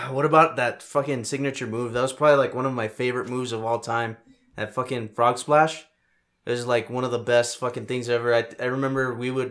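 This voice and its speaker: Quick-paced and flat in a monotone, a man speaks with an American accent. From El Paso, Texas. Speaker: podcast host. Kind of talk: mock wrestling ring-announcer intro, podcast opening.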